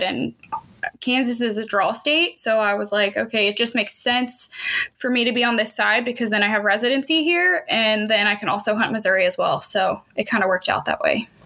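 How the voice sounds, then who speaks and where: Against noticeable background noise, a woman with a fairly high pitch speaks at a moderate pace with ordinary pitch variation. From Pennsylvania. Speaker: hunter and outdoor filmmaker. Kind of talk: casual chat.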